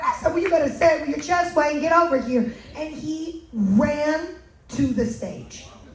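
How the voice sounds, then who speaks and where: With an American accent, a woman speaks at a high pitch and moderate pace with lively intonation. Noticeable background noise and audible room echo surround her voice. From United States. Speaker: cruise event host. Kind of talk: live event hosting. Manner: animated.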